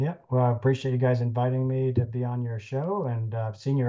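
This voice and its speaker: Speaking with an American accent, a man has a dark, mellow tone, somewhat breathy, at medium pitch, fairly quick pace and fairly even intonation. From US West Coast (Sacramento, California). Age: 60s. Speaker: podiatrist, biomechanics expert and lecturer. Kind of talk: interview conversation. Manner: halting with fillers.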